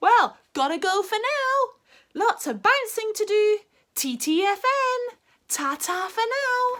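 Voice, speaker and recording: A woman puts on a squeaky character voice pitched extremely high. She projects it loudly at a fairly slow pace. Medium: read story. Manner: exuberant, boisterous.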